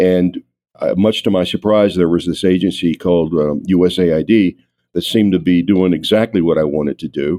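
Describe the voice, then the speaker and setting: A man with a Southern US accent speaks at a moderate pace in a very deep, low pitch with fairly even intonation. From North Carolina. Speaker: retired diplomat. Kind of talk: interview.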